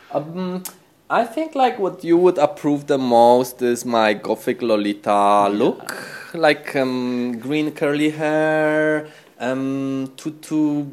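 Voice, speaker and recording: A man with a Polish accent, fairly high pitch and a very slow pace. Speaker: fashion designer and shop owner. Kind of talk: casual interview chat. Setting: in a fashion shop.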